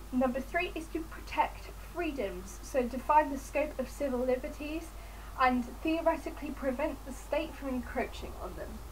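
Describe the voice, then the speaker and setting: Noticeable background noise and audible room echo surround a woman speaking with an English accent. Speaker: student. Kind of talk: revision tutorial. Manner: fast. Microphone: poor audio.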